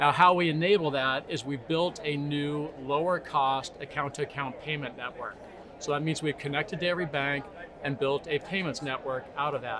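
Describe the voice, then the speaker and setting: A man's normal speaking voice with an American accent, fairly high in pitch, at a moderate pace with fairly even intonation. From United States. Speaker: tech company CEO. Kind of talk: interview.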